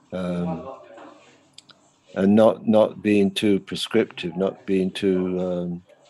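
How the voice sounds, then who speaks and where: A man's fairly low voice, very slow and fairly even in intonation. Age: 70s. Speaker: art lecturer. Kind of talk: interview conversation. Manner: halting, many fillers.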